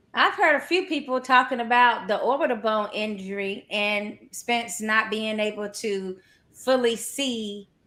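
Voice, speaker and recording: At a fairly slow pace, a woman with a North Carolina accent speaks at a fairly high pitch with ordinary pitch variation and a bright, sharp tone, on a very clean recording with a silent background. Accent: North Carolina Southern drawl. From US South, North Carolina. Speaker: boxing podcast co-host. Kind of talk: casual chat.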